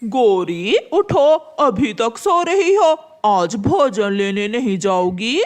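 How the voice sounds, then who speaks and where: This cartoonish character voice sits fairly high, swings very widely in pitch, and moves at a very slow pace with hardly any pauses. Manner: grumbling, complaining.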